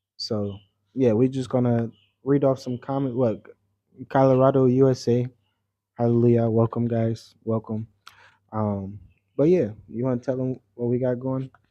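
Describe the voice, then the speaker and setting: A soft-spoken man with an American accent talks at medium pitch and a moderate pace, his tone dark and mellow. His intonation is monotone and flat, with long, frequent pauses over a quiet background. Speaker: travel vlogger. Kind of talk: casual livestream chat. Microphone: mic very close to mouth.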